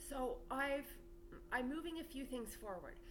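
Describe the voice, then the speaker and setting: Loud speech at a moderate pace swings very widely in pitch, with audible room echo and noticeable background noise. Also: woman. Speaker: spiritual teacher and channel owner. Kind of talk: spiritual monologue to camera. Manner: loud, projected.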